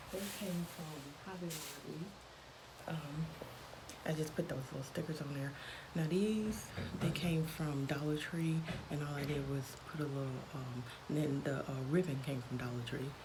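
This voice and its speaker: Whispering at a moderate pace, a woman is heard amid noticeable background noise. Audible room echo surrounds her voice. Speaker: crafting vlogger. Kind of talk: casual show-and-tell vlog. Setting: at work. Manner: hesitant, many fillers.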